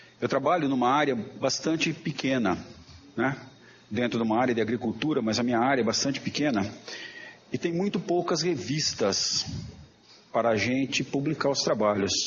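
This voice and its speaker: A man speaks at a moderate pace with lively intonation and very even loudness, leaving long, frequent pauses amid noticeable background noise. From interior of São Paulo state (Jaboticabal). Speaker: professor and journal editor. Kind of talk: lecture. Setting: auditorium.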